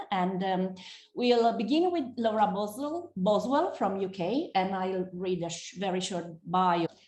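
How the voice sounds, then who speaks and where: A woman's somewhat breathy, medium-pitched voice with an Italian accent, fairly slow, ordinary pitch variation, and audible room echo. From Italy. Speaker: moderator. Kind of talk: moderating, reading bio.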